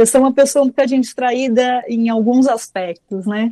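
A woman speaks at a moderate pace in a high voice with a dark, mellow tone, recorded dry and close with no echo. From Brazil, São Paulo. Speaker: oral storyteller and author. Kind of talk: interview.

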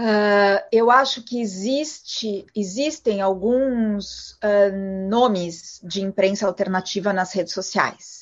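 A woman speaks very slowly at medium pitch with ordinary pitch variation and hardly any pauses. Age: 40s. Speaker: journalist and media executive. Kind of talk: interview. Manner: halting.

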